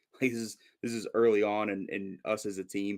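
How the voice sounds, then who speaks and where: A man with an American accent speaks at a fairly quick pace. His voice sits fairly low, with monotone, flat intonation. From Minnesota, US. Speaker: football fan commentator. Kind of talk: casual chat.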